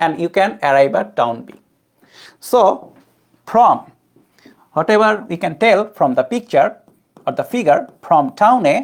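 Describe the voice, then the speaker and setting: A woman's medium-pitched voice with a non-native accent and vocal fry, a fairly slow pace, very wide pitch swings, big swings in loudness and long, frequent pauses, on a very clean recording with a silent background. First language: not English. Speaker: physics tutor. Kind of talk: lecture.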